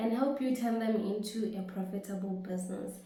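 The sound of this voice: A woman with a dark, mellow tone in strong room echo.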